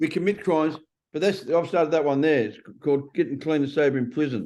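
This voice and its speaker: Very fast and fairly high-pitched, a man talks in a strong Australian accent. His tone is dark and mellow. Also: ordinary pitch variation. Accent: broad Australian. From Australia (Melbourne, Sydney). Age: 60s. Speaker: ex-prisoner author. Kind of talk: interview. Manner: casual, conversational.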